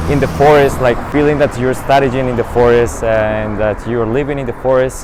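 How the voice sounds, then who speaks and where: With noticeable background noise behind him, a man talks at a moderate pace with fairly even intonation. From Colombia. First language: Spanish. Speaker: international master's student. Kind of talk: interview monologue.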